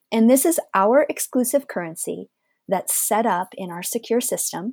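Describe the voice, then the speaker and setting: A woman with a fairly high pitch and very wide pitch swings speaks at a moderate pace in a very clean recording with a silent background and a dry, close sound with no echo. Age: 50s. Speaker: business owner. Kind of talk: interview.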